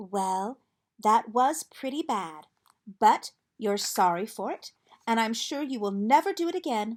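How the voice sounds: Lively intonation marks a natural reading voice. Nothing much sounds behind it.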